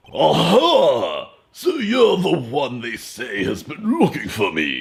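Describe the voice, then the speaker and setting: A man uses a put-on character voice. He speaks very slowly. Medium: actual play. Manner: pompous, blustery.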